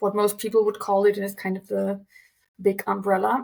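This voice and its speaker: A woman speaks at medium pitch with a German accent. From Germany. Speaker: translator. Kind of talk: interview.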